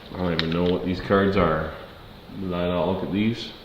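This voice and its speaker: A man with a very deep, low pitch and an American accent, amid noticeable background noise and audible room echo. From Ontario, Canada. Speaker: card break streamer. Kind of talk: live card break stream. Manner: casual, chatty.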